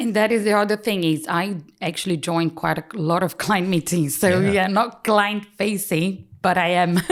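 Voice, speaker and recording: A woman speaks in a Brazilian accent with hardly any pauses. Her loudness stays very even. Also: medium pitch for a woman, ordinary pitch variation, moderate pace. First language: Portuguese. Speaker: chartered paraplanner and practice lead. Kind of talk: podcast interview answer.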